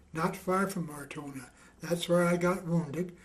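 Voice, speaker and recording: Moderate-paced speech from a man pitched high for a man, amid audible room echo and noticeable background noise. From western Canada, rural Alberta. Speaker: war veteran. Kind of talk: oral history interview.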